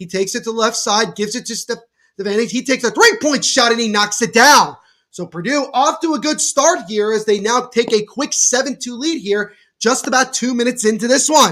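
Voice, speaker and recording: A man's extremely high, raised and projected voice, energetic and bright with a sharp tone, at a fairly quick pace with ordinary pitch variation. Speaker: podcast host. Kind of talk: live play-by-play watchalong commentary.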